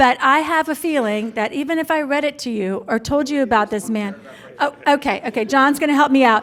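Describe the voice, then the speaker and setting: Fairly quick, lively intonation over noticeable background noise. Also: woman. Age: 60s. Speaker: event emcee. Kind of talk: event introduction.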